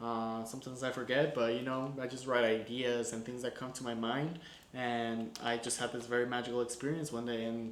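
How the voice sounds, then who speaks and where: This man talks at a fairly quick pace and a medium pitch, in a monotone with flat intonation. Noticeable background noise and audible room echo surround his voice. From Guatemala. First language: Spanish. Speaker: filmmaker. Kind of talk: film breakdown commentary. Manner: casual, conversational with fillers.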